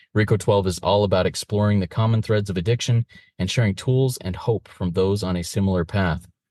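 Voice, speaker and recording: Against a quiet background, a man with a plain, everyday voice speaks at a fairly low pitch with fairly even intonation, the sound dry and close with no echo. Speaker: podcast host. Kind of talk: scripted show introduction.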